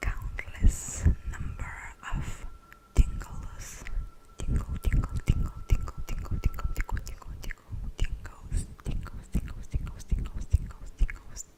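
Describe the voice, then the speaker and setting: Whispered speech moves at a fairly slow pace while noticeable background noise sounds behind it. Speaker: ASMR creator. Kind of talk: ASMR trigger words.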